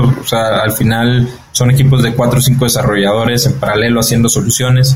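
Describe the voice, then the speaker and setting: A man talks at a moderate pace with a medium pitch. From Mexico. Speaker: entrepreneur. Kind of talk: interview. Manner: halting, many repeated words and fillers.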